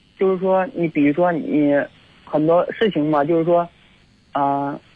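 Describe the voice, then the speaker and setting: A man with a high pitch for a man talks at a moderate pace with ordinary pitch variation. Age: 30s. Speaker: hotel security guard, caller. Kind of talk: phone-in chat. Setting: phone call. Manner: halting.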